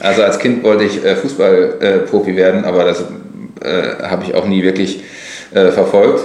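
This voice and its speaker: Moderate pace amid noticeable background noise and audible room echo. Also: man. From Lower Rhine, western Germany. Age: 40s. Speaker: blogger and author. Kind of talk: casual chat. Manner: hesitant, many fillers.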